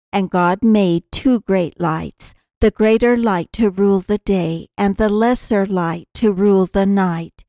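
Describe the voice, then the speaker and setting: A woman speaks fairly slowly at a medium pitch, with hardly any pauses and very even loudness. Her dark, mellow tone keeps fairly even intonation in a dry, close sound with no echo. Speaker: co-host who reads the scripture. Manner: formal, measured, reverent.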